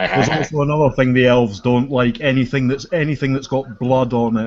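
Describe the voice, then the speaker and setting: This man talks at a fairly quick pace, his medium-pitched voice keeping a fairly even intonation. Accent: Scottish. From Scotland, Edinburgh. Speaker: gamer in group hangout. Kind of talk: casual chat.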